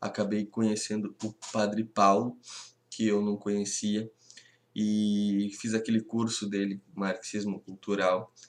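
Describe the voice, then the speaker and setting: A man speaks at a very slow pace with a fairly low pitch and monotone, flat intonation. The recording is very clean, with a silent background. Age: 20s. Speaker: history teacher. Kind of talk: lecture. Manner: halting.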